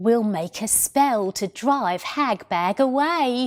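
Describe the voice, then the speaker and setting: In a put-on character voice, a female-sounding speaker talks very slowly and calmly, her croaky tone sitting at a fairly high pitch. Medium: read story. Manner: whiny and demanding; sly, calm.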